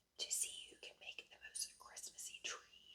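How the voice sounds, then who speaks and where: A woman whispers at a moderate pace. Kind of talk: children's book reading. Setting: close-up ASMR video.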